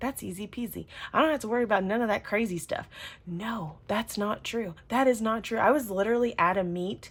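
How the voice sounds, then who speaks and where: A woman's fairly high, animated voice at a fairly quick pace, with ordinary pitch variation. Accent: Southern US. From US South. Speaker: planner and journaling youtuber. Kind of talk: casual chat. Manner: chatty.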